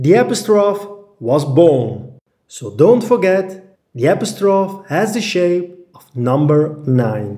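Speaking with a Dutch accent, a man uses a high pitch with very wide pitch swings. His pace is very slow. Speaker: graphic design tutor. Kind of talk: tutorial.

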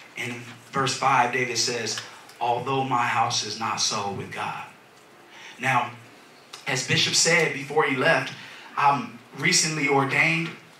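A man's voice with ordinary pitch variation, light background noise and audible room echo. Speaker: minister. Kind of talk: sermon. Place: church.

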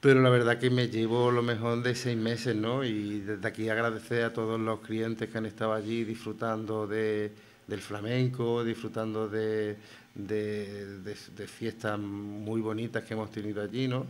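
A man's monotone, flat intonation at a fairly slow pace. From Spain, Granada (Albaicín); Spain. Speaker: writer and flamenco figure; radio guest. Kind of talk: radio interview. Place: studio. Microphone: studio mic.

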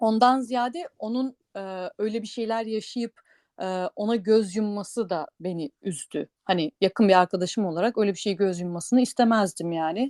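On a very clean, dry, close recording with a silent background and no echo, a woman at medium pitch speaks at a moderate pace with ordinary pitch variation and hardly any pauses. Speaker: podcast co-host. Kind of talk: casual chat. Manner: hesitant, many fillers.

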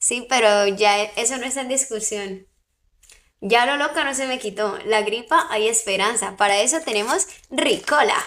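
The animated tone comes at a fairly slow pace with ordinary pitch variation, in a very clean recording with a silent background. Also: woman, fairly high pitch for a woman. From Colombian Caribbean coast, Barranquilla. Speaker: live streamer. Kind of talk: casual livestream chat with viewers.

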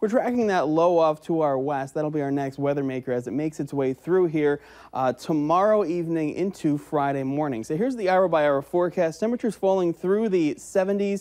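Over a quiet background, a man with an American accent talks at a moderate pace, his fairly high, dark, mellow voice carrying lively intonation. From Upper Midwest US. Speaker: TV meteorologist. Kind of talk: weather forecast. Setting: TV studio. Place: studio.

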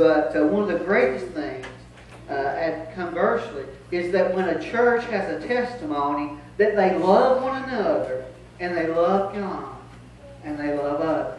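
A man speaks with lively intonation. Audible room echo and light background noise can be heard. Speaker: pastor. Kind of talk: sermon. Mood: joyful, grateful. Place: church.

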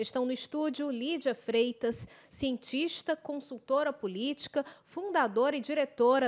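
The woman's pitch is high with ordinary variation, and her pace is moderate. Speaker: TV and radio debate host; radio debate host. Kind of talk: broadcast debate moderation. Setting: studio. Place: studio. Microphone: podium.

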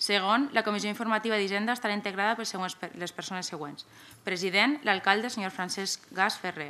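A woman's bright, sharp tone at a medium pitch. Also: ordinary pitch variation, moderate pace. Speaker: council secretary reading motions. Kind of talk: formal reading aloud of official proposals. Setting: municipal council chamber. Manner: formal. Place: meeting room. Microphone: podium.

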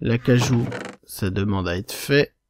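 A man's very slow speech, dry and close with no echo. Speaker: Minecraft YouTuber. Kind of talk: casual gaming commentary. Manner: rambling, self-interrupting, casual.

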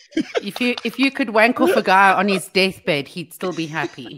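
Pitch jumps over a very wide range. The speed stays moderate. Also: woman. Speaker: radio co-host. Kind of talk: casual chat. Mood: chatty, opinionated. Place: home room.

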